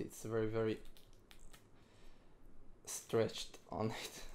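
A man mumbles at a very slow pace in a monotone, flat intonation. Light background noise is present. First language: not English. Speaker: ATV rider. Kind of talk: casual product review to camera. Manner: hesitant, mumbling. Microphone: phone near.

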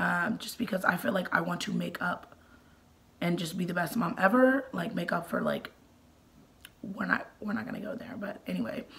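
Over noticeable background noise, a woman of medium pitch speaks with lively intonation at a moderate pace, leaving long, frequent pauses. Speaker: mommy vlogger. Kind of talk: casual vlog talk. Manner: hesitant, many fillers.

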